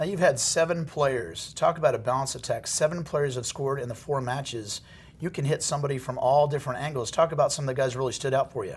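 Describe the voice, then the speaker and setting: Speaking at a very fast pace, a man with an American accent has a fairly high, somewhat breathy voice. His pitch varies in an ordinary way. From Indiana. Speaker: sports show host. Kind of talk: interview; show outro.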